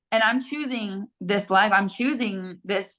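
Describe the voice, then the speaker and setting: This woman's voice sits at a fairly high pitch. Her pitch varies in an ordinary way. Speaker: small food business owner and content creator. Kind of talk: interview testimony. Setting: podcast studio. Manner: loud, high energy; animated, filler-heavy.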